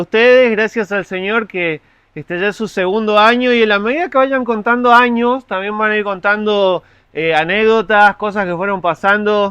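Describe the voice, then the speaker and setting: A man's raised, projected voice, high in pitch, with a bright, sharp tone, ordinary pitch variation and a moderate pace, dry and close with no echo over a quiet background. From Argentina, Mendoza. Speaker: pastor. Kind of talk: sermon. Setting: church.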